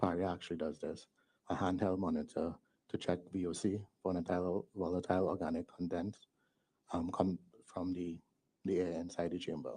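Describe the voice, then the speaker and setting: Soft-spoken and very deep, a man talks in a flat monotone with a dark, mellow tone, going at a fairly quick pace but breaking often with long pauses. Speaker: witness at a public enquiry. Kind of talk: testimony under questioning.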